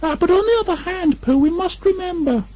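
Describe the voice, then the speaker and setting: An extremely high, squeaky put-on character voice at a fairly quick pace, over light background noise. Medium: read story. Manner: hesitant, earnest.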